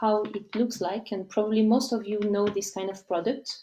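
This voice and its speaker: This woman speaks in a French accent at a medium pitch. Her tone is dark and mellow, with fairly even intonation. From France. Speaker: company representative. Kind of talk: live presentation. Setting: live stream. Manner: halting.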